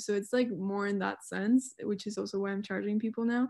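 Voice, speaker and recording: A woman with a Spanish accent, fairly high in pitch, in a monotone, flat intonation at a moderate pace. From Mexico, Mexico City area. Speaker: student and visual artist. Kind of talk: casual chat.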